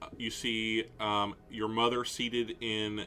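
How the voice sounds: A natural reading voice is what this clip holds.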